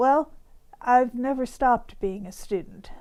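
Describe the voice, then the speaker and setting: In an American accent, a woman speaks at a fairly slow pace with ordinary pitch variation. Her tone is dark and mellow. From US Midwest, Ohio. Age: 70s. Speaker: retired teacher and writer. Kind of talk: interview testimony.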